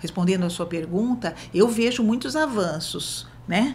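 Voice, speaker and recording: Audible room echo colors a woman's voice. She talks at a fairly slow pace with ordinary pitch variation. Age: 60s. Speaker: social worker. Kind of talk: interview. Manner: halting.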